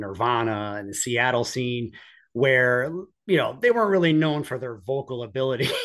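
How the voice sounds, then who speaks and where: A man with an American accent talks in a plain, everyday voice at medium pitch. His pace is fairly quick over a quiet background. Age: 40s. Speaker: police officer. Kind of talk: casual interview.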